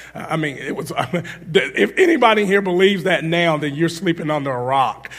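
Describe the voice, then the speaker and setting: Talking at a fairly quick pace with an animated tone and ordinary pitch variation, a man is heard over noticeable background noise and audible room echo. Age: 40s. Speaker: guest preacher. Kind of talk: sermon. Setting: church.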